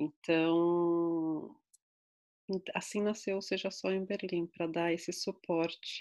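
On a very clean recording with a silent background, a woman speaks very slowly at a fairly low pitch in a monotone, flat intonation, with very even loudness and long, frequent pauses. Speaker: psychologist. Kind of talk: interview.

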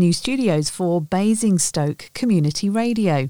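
With a British accent, a woman at a medium pitch speaks fairly slowly in a dark, mellow tone with very wide pitch swings. The sound is dry and close with no echo, in a very clean recording with a silent background. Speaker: news presenter. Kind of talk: news reading.

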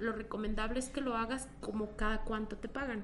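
This woman keeps a moderate pace while the recording carries audible room echo and noticeable background noise. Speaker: economist and finance lecturer. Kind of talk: interview.

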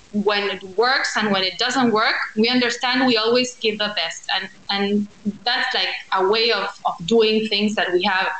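At a moderate pace, a woman with a fairly high pitch speaks in fairly even intonation amid noticeable background noise. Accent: Spanish. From Argentina, Buenos Aires. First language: Spanish. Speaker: architect and social entrepreneur. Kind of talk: interview.

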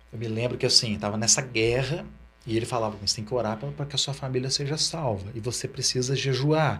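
With a normal speaking voice, a man moves at a fairly quick pace, his pitch varying in an ordinary way. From Ribeirão Preto, São Paulo state, Brazil. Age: 40s. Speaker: pastor. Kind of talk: interview testimony.

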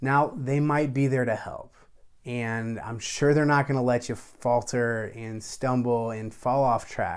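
A man with an unremarkable speaking voice talks at a fairly slow pace, his medium pitch held in fairly even intonation. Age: 30s. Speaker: podcast host. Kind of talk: solo podcast monologue.

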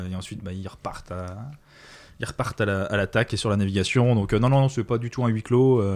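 Using a normal speaking voice, a man talks fairly quickly at a fairly low pitch, his intonation fairly even but his loudness swinging widely. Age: 30s. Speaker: podcast guest. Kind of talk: casual chat.

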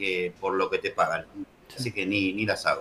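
A man with a Rioplatense accent over noticeable background noise. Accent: Argentine Spanish (rioplatense). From Argentina. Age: 40s. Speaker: trader, software business owner. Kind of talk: casual interview.

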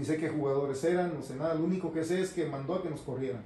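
A man speaks at a fairly high pitch with fairly even intonation. The recording has audible room echo and noticeable background noise. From Mexico, Jalisco (Guadalajara). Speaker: radio host and promotions director. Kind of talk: casual interview, life story.

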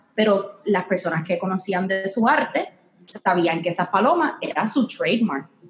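A woman with a Puerto Rican accent, medium in pitch and fairly slow in pace. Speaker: podcast co-host, music industry worker. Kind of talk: casual chat. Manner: frequent English code-switching.

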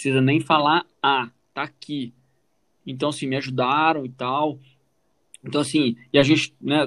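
A man's fairly high voice, flat and monotone, at a moderate pace over a quiet background. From Brazil, Minas Gerais (Formiga). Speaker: podcast co-host, immigrant telling his story. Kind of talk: casual chat.

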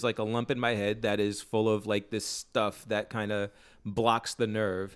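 A plain, everyday voice from a man, medium in pitch and at a fairly slow pace. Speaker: podcast co-host. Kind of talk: casual chat.

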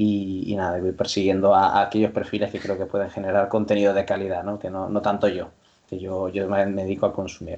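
With a quiet background, a man talks at a fairly quick pace and a fairly low pitch. His tone is dark and mellow, his intonation flat and monotone. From Canary Islands, La Palma. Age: young. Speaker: sports science lecturer and basketball coach. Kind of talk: interview.

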